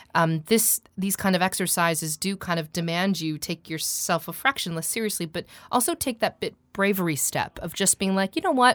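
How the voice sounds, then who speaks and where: A woman with a General American accent, a plain, everyday voice, medium pitch, moderate pace and hardly any pauses, on a very clean recording with a silent background. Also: ordinary pitch variation. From US West Coast, Seattle. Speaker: voice coach and voiceover artist. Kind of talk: interview. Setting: studio.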